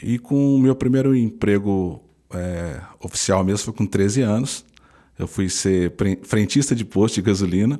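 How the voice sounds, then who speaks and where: A man's dark, mellow tone at a fairly slow pace, on a very clean recording with a silent background. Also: fairly low pitch for a man, ordinary pitch variation. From interior of São Paulo state, Brazil. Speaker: public prosecutor. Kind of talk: interview.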